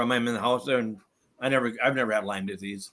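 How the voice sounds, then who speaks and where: A man with a Minnesotan accent talks at a very fast pace, his intonation fairly even. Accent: Minnesota. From northern Minnesota. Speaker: Bigfoot eyewitness. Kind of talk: casual chat.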